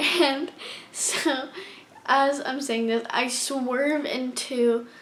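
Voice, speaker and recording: A high-pitched woman with fairly even intonation, over noticeable background noise. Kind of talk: casual storytime talk to camera. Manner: stuttering, hesitant.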